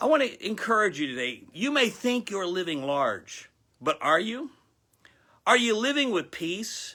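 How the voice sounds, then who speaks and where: Speaking fairly slowly in an American accent, a man uses a raised, projected voice that is high, bright and sharp, with very wide pitch swings, on a very clean recording with a silent background. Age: 60s. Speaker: pastor. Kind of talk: sermon. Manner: animated.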